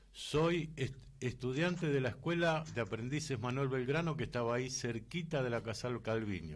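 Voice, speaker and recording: Somewhat breathy at a medium pitch, a man speaks at a moderate pace with ordinary pitch variation and very even loudness. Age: 60s. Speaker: radio host. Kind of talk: radio interview.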